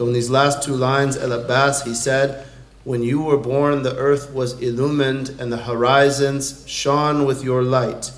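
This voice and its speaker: Monotone, flat intonation marks this man's fairly slow speech. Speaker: religious lecturer. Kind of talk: sermon. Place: hall. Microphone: podium.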